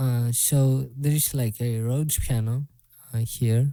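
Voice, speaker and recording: Speaking with a Greek accent, a man talks at a fairly slow pace in a dark, mellow, somewhat breathy voice with fairly even intonation, the sound dry and close with no echo. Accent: Greek accent, self-described as bad. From Greece. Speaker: music producer. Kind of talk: casual tutorial. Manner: halting, filler-heavy.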